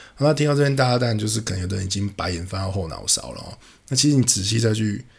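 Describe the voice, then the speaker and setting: Very fast, somewhat breathy speech from a man with a Taiwanese accent and a fairly low pitch. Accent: Taiwanese Mandarin. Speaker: podcast host. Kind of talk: casual monologue.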